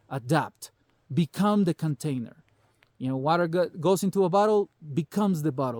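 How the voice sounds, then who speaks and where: With a Salvadoran accent, a man speaks high in pitch at a fairly quick pace, animated and with lively intonation, in a dry, close sound with no echo. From El Salvador. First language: Spanish. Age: 40s. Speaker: prepper vlogger. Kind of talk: casual monologue vlog.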